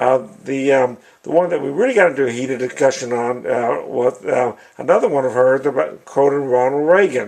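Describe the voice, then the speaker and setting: His intonation rises and falls in a lively way. The man keeps a moderate pace. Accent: Southern US. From Arkansas, USA. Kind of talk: casual talk to camera. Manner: hesitant, rambling.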